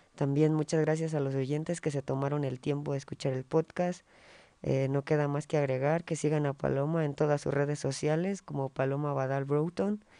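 A man with a dark, mellow tone and fairly high pitch speaks at a moderate pace in a monotone, flat intonation, the sound dry and close with no echo over a quiet background. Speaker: podcast host. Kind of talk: casual interview.

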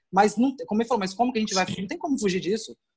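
This man's voice is high in pitch and varies in an ordinary way. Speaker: journalist and photographer. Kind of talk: casual chat.

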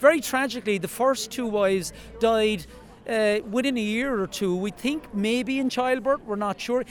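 This man has a Cork accent and a high pitch with ordinary pitch variation. He talks at a moderate pace. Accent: Irish (Cork). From Ireland. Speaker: wildlife guide and monument committee chair. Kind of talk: outdoor interview.

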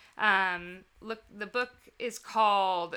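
A woman's bright, sharp voice in a flat monotone, on a very clean recording with a silent background. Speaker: podcast co-host. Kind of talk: casual chat.

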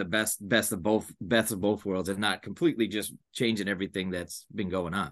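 Against a quiet background, a man speaks in a plain, everyday voice, fairly low in pitch, with fairly even intonation. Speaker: basketball podcast host. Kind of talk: podcast interview.

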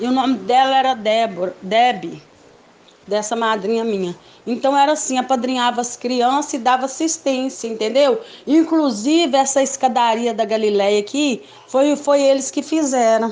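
A woman's high voice with ordinary pitch variation. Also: moderate pace. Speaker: daughter of the guest. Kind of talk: casual recounting.

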